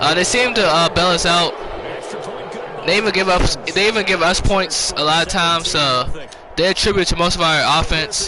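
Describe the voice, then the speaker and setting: A man with a high pitch speaks at a moderate pace against noticeable background noise. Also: ordinary pitch variation, very even loudness. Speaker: gaming streamer. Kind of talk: gameplay commentary. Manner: halting.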